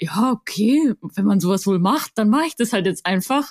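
A woman's somewhat breathy voice with lively intonation comes through in a very clean recording, silent in the background, dry and close with no echo. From Bavaria, Augsburg. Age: 20s. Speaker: mountain bike coach and influencer. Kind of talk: casual interview.

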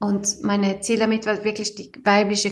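In a Swedish accent, a woman talks at a fairly slow pace with a medium pitch. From Sweden. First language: Swedish (speaking German). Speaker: engineer and author. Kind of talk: interview. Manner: halting.

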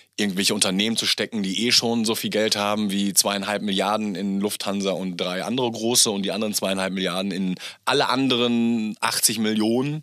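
The recording is very clean and the background silent. A man talks fairly quickly. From Germany, Gütersloh near Bielefeld. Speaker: entrepreneur, podcast guest. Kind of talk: casual interview chat. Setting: home studio. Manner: animated, loud; hesitant, repeating words.

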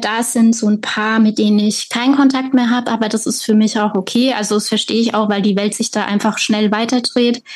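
A woman talks at a fairly quick pace with hardly any pauses. Her voice is fairly high, somewhat breathy and monotone, with flat intonation. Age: 30s. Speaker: author and patient. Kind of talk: personal testimony interview.

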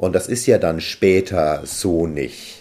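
Very slow speech with a dark, mellow tone comes through a very clean recording against a silent background. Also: man. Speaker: success coach, podcast co-host. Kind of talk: interview conversation.

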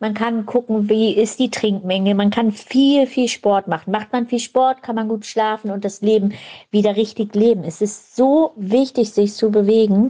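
A woman speaks with a dark, mellow tone at a fairly high pitch. Her pace is moderate and her intonation fairly even. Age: 40s. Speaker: lupus patient and support group leader. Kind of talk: recorded voice message.

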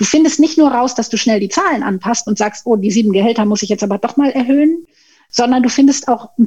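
A woman speaks in a high, dark, mellow voice with ordinary pitch variation. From Tenerife, Spain (German-speaking upbringing). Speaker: management consultant and pay equity advocate. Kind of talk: podcast interview.

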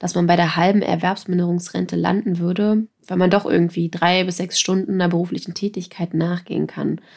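A woman talks at a fairly quick pace with hardly any pauses, in a fairly low pitch and monotone, flat intonation. The recording is very clean, with a silent background. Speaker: podcast host. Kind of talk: podcast conversation.

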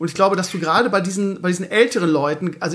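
A man speaks at a very fast pace with a high pitch. Noticeable background noise is present. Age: 40s. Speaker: podcast host. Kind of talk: casual chat.

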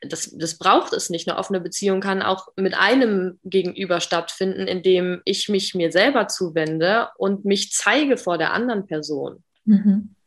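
A woman with a plain, everyday voice at a moderate pace, with ordinary pitch variation. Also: medium pitch for a woman, hardly any pauses. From northern Germany, Bremen. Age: 20s. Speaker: podcast guest, coach. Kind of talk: interview.

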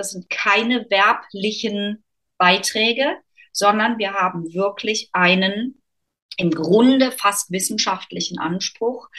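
Very slow speech comes from a woman at a medium pitch. Her tone is bright and sharp, with ordinary pitch variation. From Germany, North Rhine-Westphalia. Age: 40s. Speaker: author and business consultant. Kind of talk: interview conversation.

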